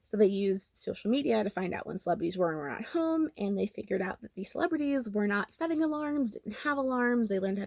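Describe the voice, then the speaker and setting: A woman with a Southern Californian accent talks at a fairly quick pace. Her pitch is fairly high and swings very widely. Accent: Valley girl. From Los Angeles, California. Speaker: YouTuber and podcaster. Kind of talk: commentary monologue. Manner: casual, filler-heavy.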